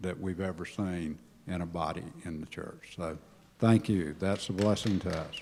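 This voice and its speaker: A man's dark, mellow tone at a moderate pace, with fairly even intonation and audible room echo. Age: 70s. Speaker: church member giving life story. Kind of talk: personal talk to congregation.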